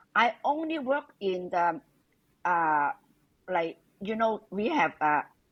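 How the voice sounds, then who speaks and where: Against a quiet background, a woman speaks at a very slow pace, her medium pitch moving in very wide swings. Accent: Hong Kong. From Hong Kong. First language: Cantonese. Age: 70s. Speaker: interviewee, retired immigrant mother. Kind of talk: interview. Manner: halting.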